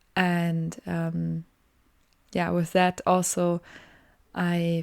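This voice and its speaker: With a German accent, a dark, mellow tone comes through at a very slow pace. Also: woman. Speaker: podcaster, design student. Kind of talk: casual solo podcast monologue. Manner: halting, many fillers.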